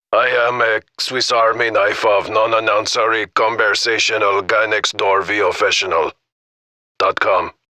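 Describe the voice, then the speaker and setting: A man uses a raspy, put-on character voice at medium pitch and a moderate pace. His loudness stays very even, and the sound is dry and close with no echo. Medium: tutorial demo.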